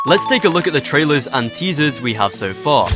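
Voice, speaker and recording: A man at a fairly quick pace, fairly high in pitch, with very wide pitch swings and music in the background. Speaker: gaming video creator. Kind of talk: video game explainer narration. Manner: dry, sarcastic asides.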